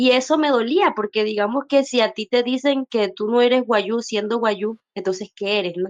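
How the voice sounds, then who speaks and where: The sound is dry and close, with no echo. A woman talks at a moderate pace with ordinary pitch variation. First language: Wayuunaiki (speaking Spanish). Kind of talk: personal testimony in panel discussion. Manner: hesitant, many fillers.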